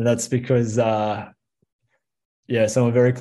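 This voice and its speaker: This man has a dark, mellow tone. He talks with an Australian accent. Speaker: film director. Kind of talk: interview.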